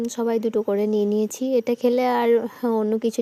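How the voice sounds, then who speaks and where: A woman's fairly high voice in a monotone, flat intonation, with a dry, close sound and no echo. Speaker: vlogger. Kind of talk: vlog narration.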